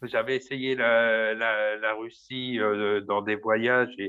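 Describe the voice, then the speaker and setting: A man talks with fairly even intonation. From Paris region, France. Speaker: baker. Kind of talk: interview. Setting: small room at work. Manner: loud; hesitant, many fillers.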